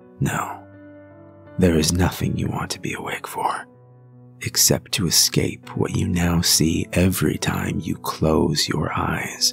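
Over music in the background, a man whispers at a very slow pace. His tone is dramatic and theatrical. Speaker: horror story narrator; voice actor with some training. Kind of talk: creepypasta narration, horror story read aloud. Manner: dramatic, theatrical, slow.

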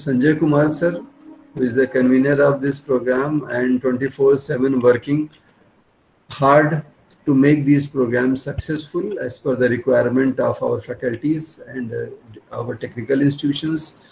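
Faint music plays in the background as a man speaks at a fairly slow pace. His pitch is fairly high and his intonation fairly even. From India. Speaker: institute principal. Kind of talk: formal vote of thanks. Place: office. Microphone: webcam.

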